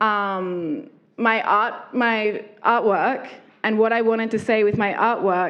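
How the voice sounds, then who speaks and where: With an Australian accent, a woman talks at a fairly high pitch with ordinary pitch variation. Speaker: artist and lingerie designer. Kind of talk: talk with audience.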